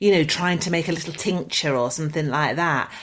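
This woman has an ordinary speaking voice, fairly low in pitch, and moves at a fairly quick pace on a very clean recording with a silent background. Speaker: podcast co-host. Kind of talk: casual chat.

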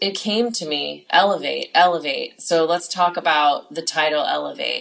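A woman speaks at a fairly low pitch with ordinary pitch variation. Her pace is fairly slow. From California. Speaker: podcast host and life coach. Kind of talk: solo monologue.

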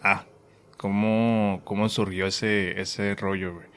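A man with a fairly low pitch at a very slow pace. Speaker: podcast host. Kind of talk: casual chat.

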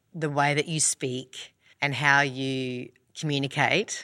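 Recorded very cleanly against a silent background, a woman speaks in a very deep, low voice at a fairly slow pace. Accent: strong Australian. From Australia. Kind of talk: casual chat.

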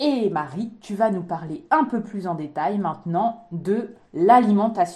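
Lively intonation from a medium-pitched woman at a very slow pace, with hardly any pauses. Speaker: naturopath podcast co-host. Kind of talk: casual chat.

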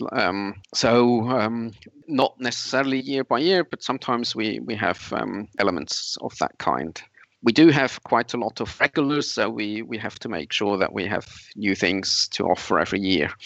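With vocal fry and lively intonation, a man speaks at a medium pitch and a moderate pace. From Switzerland. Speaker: camp organizer and secular activist. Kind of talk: interview.

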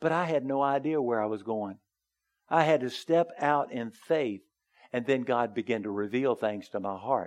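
This man has a plain, everyday voice at medium pitch, moving at a moderate pace with ordinary pitch variation. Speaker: pastor. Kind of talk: sermon. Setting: church.

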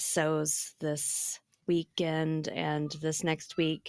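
A woman's fairly low pitch in a dry, close sound with no echo. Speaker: podcast host. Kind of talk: casual chat.

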